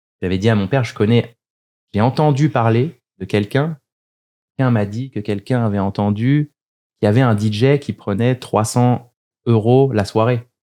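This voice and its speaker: A man with a dark, mellow tone speaks at a medium pitch and moderate pace, with ordinary pitch variation and long, frequent pauses. The recording is very clean, with a silent background. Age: 30s. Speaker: DJ and music producer. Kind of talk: casual interview chat. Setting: studio.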